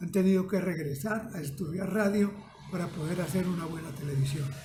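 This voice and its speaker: Amid noticeable background noise and audible room echo, a man speaks at a high pitch and a moderate pace with ordinary pitch variation. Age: 90s. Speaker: retired radio producer. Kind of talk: interview.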